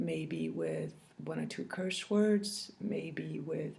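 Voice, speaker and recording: A woman speaks with a French accent. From France. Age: 40s. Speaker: cross-stitch video blogger. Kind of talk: casual chat. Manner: halting, many fillers.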